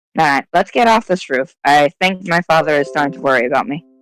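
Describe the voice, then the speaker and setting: Speaking at a very fast pace, the put-on character voice sits at a low-to-middle pitch and sounds raspy. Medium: actual play. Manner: warm, soothing.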